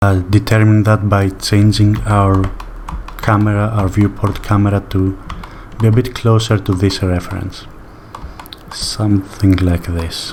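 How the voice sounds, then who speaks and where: A man with a non-native accent talks at a fairly slow pace, pausing long and often. His pitch is fairly low, his intonation monotone and flat, and background noise is noticeable. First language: not English. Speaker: sculpting tutorial creator. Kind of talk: tutorial. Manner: slow paced; relaxed, hesitant with fillers.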